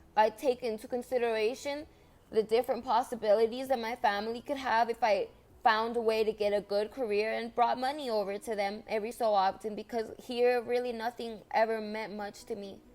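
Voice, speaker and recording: In a Spanish accent, a woman talks with a fairly high pitch and monotone, flat intonation. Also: fairly quick pace. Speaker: vlogger. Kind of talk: monologue vlog. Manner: halting, with restarts.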